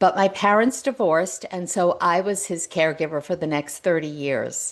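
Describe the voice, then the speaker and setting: A woman speaks with an ordinary speaking voice at a moderate pace. Her pitch is fairly low, with ordinary pitch variation over a quiet background. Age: 60s. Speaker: author and speaker on midlife reinvention. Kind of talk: interview conversation.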